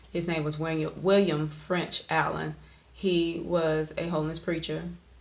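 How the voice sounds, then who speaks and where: With an Alabama accent, a woman speaks in a very deep, low pitch and monotone, flat intonation amid audible room echo. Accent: Southern US (Alabama). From US South, Alabama (Oxford area). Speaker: poet, video creator. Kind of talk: personal vlog monologue. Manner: casual, with frequent fillers.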